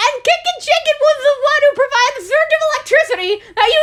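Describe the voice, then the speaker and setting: Over noticeable background noise, a woman projects a raised voice at a moderate pace, her pitch swinging very widely. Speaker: video commentator. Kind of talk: video commentary. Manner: loud.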